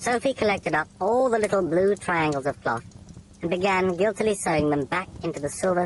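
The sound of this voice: What we hear is an unforced reading voice.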